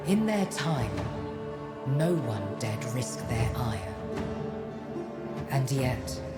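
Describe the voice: A woman's put-on character voice, extremely low in pitch with big pitch swings, at a very slow pace over clear music in the background.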